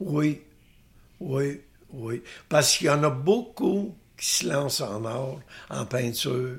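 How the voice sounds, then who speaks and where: A man with a Quebec accent speaks at a very slow pace, leaving long, frequent pauses. His fairly high voice is somewhat breathy, with lively intonation. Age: old. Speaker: painter. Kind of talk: interview. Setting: artist's studio.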